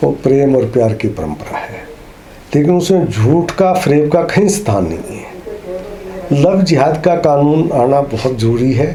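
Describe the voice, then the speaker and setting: Amid noticeable background noise and audible room echo, a man with a fairly high voice speaks with lively intonation. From Haryana, Karnal district. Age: 60s. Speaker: interviewee, writer of opinions. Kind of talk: interview.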